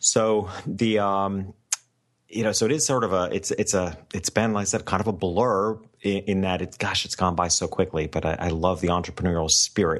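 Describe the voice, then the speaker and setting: A man's normal speaking voice, fairly low in pitch, with ordinary pitch variation, a moderate pace and a quiet background. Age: 50s. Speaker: family photographer and business coach. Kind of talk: interview.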